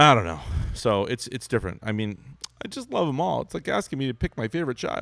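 Speaking very fast with vocal fry, a man at medium pitch makes very wide pitch swings. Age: 30s. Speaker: podcast host. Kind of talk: casual chat.

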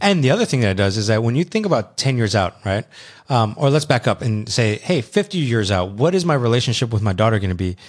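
In a very clean recording with a silent background, a man of medium pitch speaks at a very fast pace with very even loudness and lively intonation. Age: 30s. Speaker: podcast co-host. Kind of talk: casual chat.

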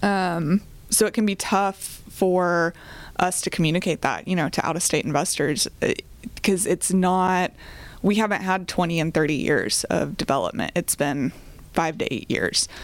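Speaking at a moderate pace, a woman with an American accent has a fairly low pitch and ordinary pitch variation. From Oklahoma (Choctaw, near Oklahoma City). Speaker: real estate investment company co-founder. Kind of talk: podcast interview. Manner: hesitant with fillers.

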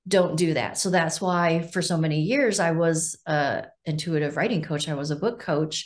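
In a normal speaking voice, a woman speaks at a moderate pace with fairly low pitch, ordinary pitch variation and hardly any pauses. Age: 50s. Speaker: sound healer and author. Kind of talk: interview.

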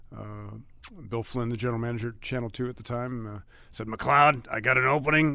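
Speaking at a fairly quick pace with an American accent, a man at medium pitch uses a bright, sharp tone and fairly even intonation while his loudness swings widely. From US Midwest, Cleveland. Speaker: sports play-by-play announcer. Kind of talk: casual interview. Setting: team training facility. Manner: halting, many fillers.

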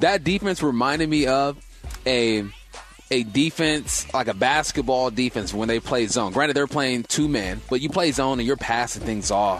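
Upbeat, cheerful male voice at medium pitch, with lively intonation over noticeable background noise. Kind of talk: radio DJ patter: punchy sports-radio segment tease and sign-off. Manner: upbeat, rapid-fire, hype-man energy with a cheerful teaser cadence.

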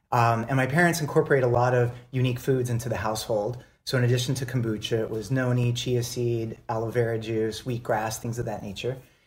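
Somewhat breathy, a man at a medium pitch talks at a fairly quick pace with hardly any pauses and fairly even intonation. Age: 40s. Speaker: beverage company founder. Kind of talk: casual chat.

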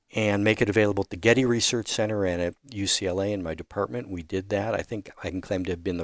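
This man speaks very fast, his pitch fairly low and his intonation fairly even. The sound is dry and close, without echo. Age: 70s. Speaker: digital archaeologist. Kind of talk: interview.

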